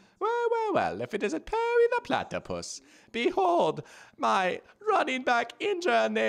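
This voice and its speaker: The man adopts a put-on character voice. It is pitched extremely high and delivered at a moderate tempo. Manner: theatrical, scheming.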